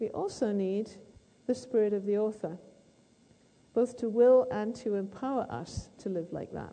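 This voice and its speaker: A woman with a British accent speaks at a moderate pace in a fairly high, dark, mellow voice, with ordinary pitch variation and long, frequent pauses. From Britain. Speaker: literature professor. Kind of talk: lecture.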